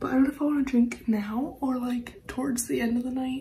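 Amid audible room echo, a woman speaks at a high pitch in a dark, mellow tone with fairly even intonation.

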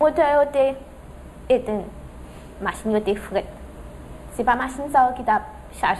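A woman's high, lively voice at a fairly quick pace, broken by long, frequent pauses, against noticeable background noise. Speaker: accident victim. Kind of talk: testimony.

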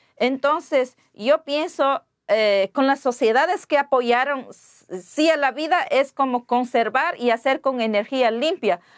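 Speaking at a very slow pace with hardly any pauses, a woman uses a high pitch, ordinary pitch variation and very even loudness against a quiet background. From Ecuadorian Amazon, Pastaza. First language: Waorani (speaking Spanish). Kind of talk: interview; interview answer. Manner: halting. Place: studio. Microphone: lapel.

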